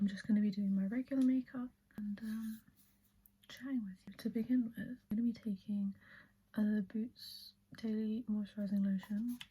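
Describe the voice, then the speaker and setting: A soft-spoken, somewhat breathy woman's voice, fairly high in pitch, monotone and flat, with a relaxed, dark, mellow tone at a moderate pace. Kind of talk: ASMR get ready with me, chatty makeup talk to camera. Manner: soft-spoken, relaxed, chatty.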